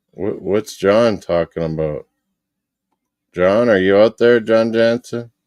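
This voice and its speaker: Speaking very slowly with long, frequent pauses, a man with an American accent uses a fairly low pitch and ordinary pitch variation. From Western Canada. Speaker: sports streamer. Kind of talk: casual chat reading live comments. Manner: animated.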